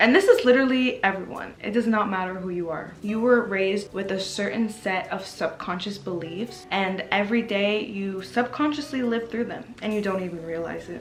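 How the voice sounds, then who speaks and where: A woman at a moderate pace with hardly any pauses and big swings in loudness, over background music and audible room echo. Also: medium pitch for a woman, ordinary pitch variation. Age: 20s. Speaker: lifestyle vlogger. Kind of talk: motivational talk to camera. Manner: casual.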